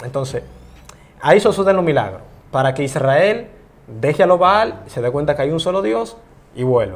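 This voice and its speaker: Long, frequent pauses break up this man's moderate pace. His fairly high pitch swings very widely. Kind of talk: interview.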